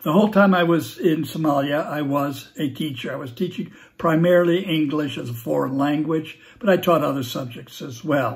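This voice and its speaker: Quiet background behind a man with a Californian accent and a fairly high, somewhat breathy voice. He talks at a moderate pace with ordinary pitch variation. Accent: Californian American English. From San Francisco, California. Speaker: former teacher and Peace Corps volunteer; guest, former teacher. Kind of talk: recorded video message; casual recorded invitation message. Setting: at home. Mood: friendly, warm. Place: home room. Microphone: phone near.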